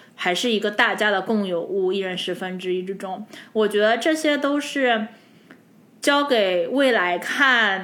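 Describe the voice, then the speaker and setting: The speech is animated and bright, sharp in tone, with lively intonation, a fairly slow pace and audible room echo. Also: woman. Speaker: podcast co-host. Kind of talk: casual chat.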